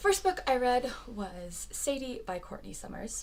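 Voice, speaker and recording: A woman's voice with audible room echo. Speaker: book reviewer. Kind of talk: casual vlog review. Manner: fast; animated.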